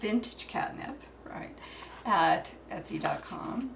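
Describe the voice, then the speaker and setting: Noticeable background noise surrounds a woman's voice. Her words also carry audible room echo. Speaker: craft hobbyist showing altered art books. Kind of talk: show-and-tell tutorial. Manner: slow; halting.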